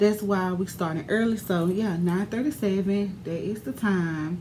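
A woman speaks at a very slow pace, somewhat breathy, with ordinary pitch variation. Light background noise sits behind her. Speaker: beauty vlogger. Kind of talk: casual vlog chat. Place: home room. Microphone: phone near.

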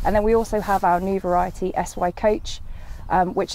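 A woman speaks at a fairly quick pace in a dark, mellow tone with monotone, flat intonation. The sound is dry, with no echo. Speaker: agronomy company specialist. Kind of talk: interview. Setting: outdoors.

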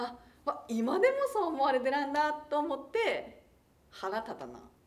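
High in pitch, a woman speaks with lively intonation and big swings in loudness. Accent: strong Tsugaru. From Aomori, Tsugaru. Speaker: TV announcer. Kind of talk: casual talk to camera. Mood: amused, smiling storytelling. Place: studio.

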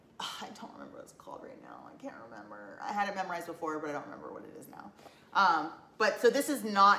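A woman talks at a very fast pace, with big swings in loudness. Light background noise and audible room echo are present. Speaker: collection vlogger. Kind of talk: casual vlog chat. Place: home room. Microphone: camera far.

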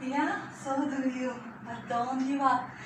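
A woman speaks at a very slow pace in a high voice. Audible room echo and noticeable background noise surround her. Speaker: fitness instructor. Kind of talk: workout class instruction. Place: home room. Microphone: camera far.

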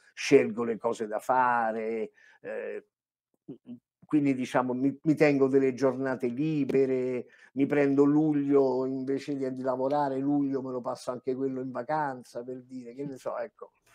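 A dark, mellow tone with monotone, flat intonation and big swings in loudness, over a quiet background. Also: man, fairly slow pace. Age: 70s. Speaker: voice actor. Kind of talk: casual chat. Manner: halting. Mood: relaxed, anecdotal. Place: home room.

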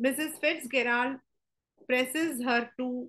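A woman talks at a very slow pace in a high pitch. Her tone is bright and sharp. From India. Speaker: teacher. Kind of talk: lecture. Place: home room. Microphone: webcam.

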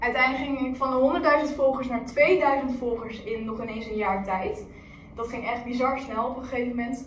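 A woman talks at a moderate pace in a high voice with ordinary pitch variation. Light background noise and audible room echo are present. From Netherlands, Amersfoort. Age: 20s. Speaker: influencer vlogger. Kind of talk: presentation to a class; casual vlog talk. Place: meeting room. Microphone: camera far.

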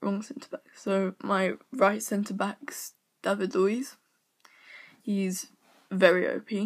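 A woman speaks at a very slow pace, somewhat breathy, with long, frequent pauses. Her loudness swings widely while her pitch varies in an ordinary way. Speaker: gaming YouTuber. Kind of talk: casual gaming commentary, squad walkthrough. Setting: screen recording voiceover. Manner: casual, filler words, a bit hesitant.

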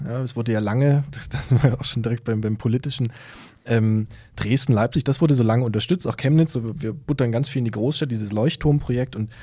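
A man speaks fairly quickly against a quiet background. His voice is somewhat breathy and dark and mellow, with ordinary pitch variation. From Saxony (Kamenz, Upper Lusatia); Saxony. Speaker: novelist; podcast guest. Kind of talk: conversational interview. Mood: relaxed, smiling. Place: studio. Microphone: studio mic.

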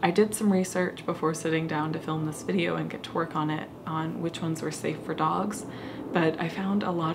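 A woman's voice with ordinary pitch variation, noticeable background noise behind it. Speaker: crafting vlogger. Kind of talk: casual vlog chat. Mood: thoughtful, slightly unsure. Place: home room.

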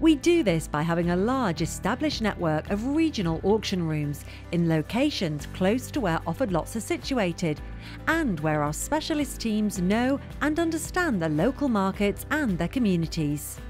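Over music in the background, a woman speaks at a moderate pace and medium pitch, her pitch swinging very widely. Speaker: narrator of a corporate promo video. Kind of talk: corporate narration, promotional voiceover.

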